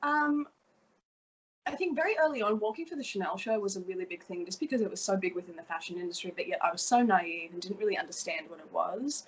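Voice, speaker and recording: A woman with a strong Australian accent, medium-pitched, very fast, with very wide pitch swings and big swings in loudness. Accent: Australian, still strong. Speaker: fashion model. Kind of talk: interview.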